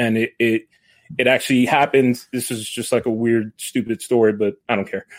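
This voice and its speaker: A man speaks in a normal speaking voice at a fairly quick pace, with an American accent. His pitch is medium and his intonation fairly even, with a dry, close sound and no echo. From New York. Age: 30s. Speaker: football supporters' club organizer. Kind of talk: casual chat. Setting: remote call.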